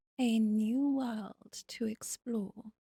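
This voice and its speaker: A woman with a British accent speaks in a somewhat breathy voice with a fairly high pitch, a dark, mellow tone and fairly even intonation, recorded with a dry, close sound and no echo. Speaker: video game streamer.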